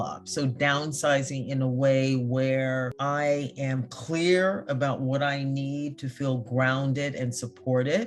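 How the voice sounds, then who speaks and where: Over noticeable background noise, a woman talks at a very slow pace with hardly any pauses, her pitch very deep and low. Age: 60s. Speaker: retirement finance interviewee. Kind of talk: interview testimony.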